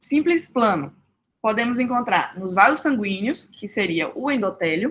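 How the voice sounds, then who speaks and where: A woman talks at a fairly slow pace while her pitch swings very widely. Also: fairly high pitch for a woman. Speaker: student tutor. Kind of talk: study group review.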